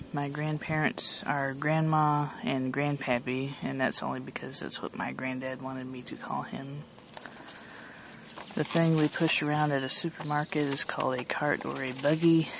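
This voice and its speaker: Over noticeable background noise, a woman with an American accent speaks at a moderate pace in a very deep, low pitch with fairly even intonation. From Georgia, US South. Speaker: vlogger. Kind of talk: casual chat. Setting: outdoors.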